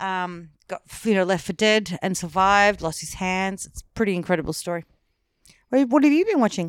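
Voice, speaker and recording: On a very clean recording with a silent background, a woman at medium pitch speaks with ordinary pitch variation and big swings in loudness. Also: moderate pace. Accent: Australian. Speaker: podcast co-host. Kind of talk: casual chat.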